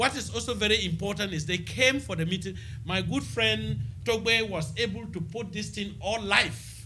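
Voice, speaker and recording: A man with a Ghanaian accent talks in a high voice with very wide pitch swings. His tone is bright and sharp, and the room echo is audible. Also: moderate pace. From Ghana, Upper East region. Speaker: local mayor, former nurse. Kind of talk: radio interview. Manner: halting.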